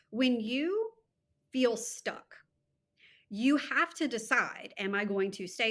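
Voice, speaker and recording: A woman's very slow, lively intonation on a very clean recording with a silent background. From Louisiana, US South. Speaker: time management coach. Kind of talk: podcast interview.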